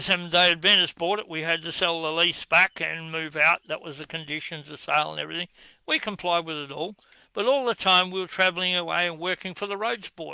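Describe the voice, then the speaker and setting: In a strong Australian accent, a man with a high pitch and a bright, sharp tone talks at a fairly quick pace with big swings in loudness, recorded dry and close with no echo on a very clean, silent background. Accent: broad Australian. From Western Australia, Perth. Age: 70s. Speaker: political commentator. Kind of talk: monologue rant. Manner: animated.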